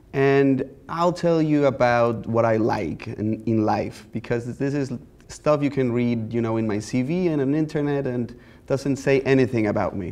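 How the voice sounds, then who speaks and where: Using ordinary pitch variation, a man with a Mexican accent talks at a moderate pace and a medium pitch. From Mexico. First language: Spanish. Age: 30s. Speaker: visual artist. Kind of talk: lecture. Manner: easygoing, conversational.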